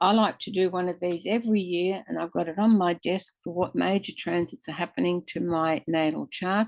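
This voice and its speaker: Dry and close with no echo, a woman speaks at a moderate pace in a plain, everyday voice, fairly low in pitch with ordinary pitch variation. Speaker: software demonstrator. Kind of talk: tutorial.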